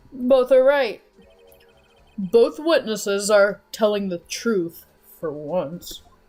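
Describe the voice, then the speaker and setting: Using a put-on character voice, a man speaks at a high pitch with lively intonation, at a very slow pace broken by long, frequent pauses. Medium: game stream. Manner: emphatic, deductive.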